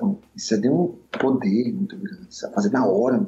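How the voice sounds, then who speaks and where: At a moderate pace and medium pitch, a man's voice moves through very wide pitch swings over noticeable background noise. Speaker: musician and bandleader. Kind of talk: casual interview chat.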